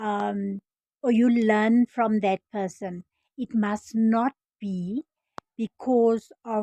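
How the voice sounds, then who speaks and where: A woman speaks at a very slow pace in a South African accent, her tone dark and mellow. Her voice is somewhat breathy, with a dry, close sound and no echo. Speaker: former nurse turned online business vlogger. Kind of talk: casual vlog introduction. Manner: halting, many fillers and restarts.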